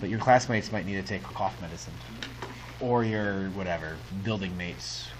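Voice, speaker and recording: Through noticeable background noise and audible room echo, a man with a fairly low pitch speaks with lively intonation and long, frequent pauses. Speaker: high school math teacher. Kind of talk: classroom lecture. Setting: classroom with students. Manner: animated; fast.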